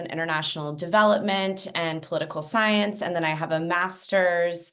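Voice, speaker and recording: A woman's fairly low voice in an American accent, at a moderate pace with fairly even intonation. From US, California Bay Area. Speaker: education and technology consultant. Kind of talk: webinar panel introduction.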